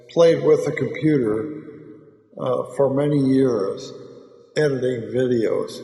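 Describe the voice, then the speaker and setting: Audible room echo surrounds the speech of a man. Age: 70s. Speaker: amateur video maker and stroke survivor. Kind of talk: personal monologue. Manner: slurred speech after stroke; halting, with fillers.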